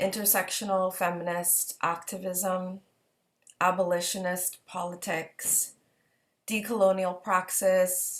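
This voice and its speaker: Very slowly, a woman speaks at a medium pitch in a flat monotone. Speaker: panelist, activist. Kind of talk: panel discussion. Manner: slow, deliberate.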